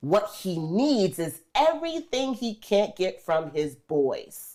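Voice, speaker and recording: On a very clean recording with a silent background, a woman speaks very slowly in a dark, mellow tone, her pitch swinging very widely. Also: medium pitch for a woman. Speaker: relationship coach. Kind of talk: panel discussion. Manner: emphatic.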